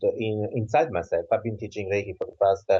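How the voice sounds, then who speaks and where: This is a man's voice. He speaks with an Italian accent. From southern Italy. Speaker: author and Reiki teacher. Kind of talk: interview.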